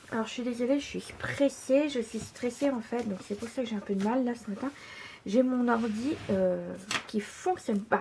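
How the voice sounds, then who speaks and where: A woman talks at a fairly slow pace in a fairly high pitch, with ordinary pitch variation. Noticeable noise sits in the background. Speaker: scrapbooking tutorial maker. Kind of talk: tutorial. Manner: hesitant, many fillers.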